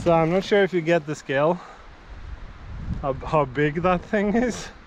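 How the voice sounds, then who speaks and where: A man with a high-pitched voice delivers his words at a moderate tempo, his pitch varying in an ordinary way. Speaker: outdoor vlogger / streamer. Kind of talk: casual livestream narration while hiking. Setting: outdoors in forest on a hike. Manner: loud.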